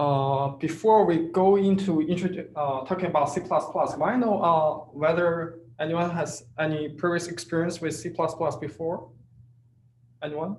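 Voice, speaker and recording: There is audible room echo around a man's high-pitched voice. He keeps a moderate pace. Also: fairly even intonation. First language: not English. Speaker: teaching assistant. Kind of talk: tutorial. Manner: halting, many fillers.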